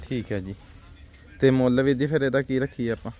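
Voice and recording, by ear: A man speaks at medium pitch and a fairly quick pace. His tone is dark and mellow, with ordinary pitch variation.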